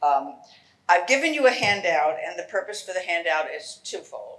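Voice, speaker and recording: Audible room echo surrounds a woman speaking at medium pitch with a New York accent. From New York City. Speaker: genealogy lecturer. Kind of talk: lecture. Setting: lecture hall with audience.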